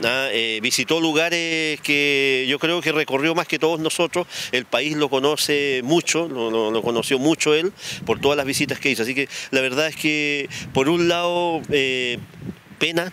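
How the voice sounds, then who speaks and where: A man speaks at a fairly slow pace in a fairly high pitch, with ordinary pitch variation and very even loudness. Light background noise sits under the dry, echo-free sound. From Chile. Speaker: city mayor. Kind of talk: interview answer. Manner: somber. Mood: somber, grieving tribute. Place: street. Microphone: handheld.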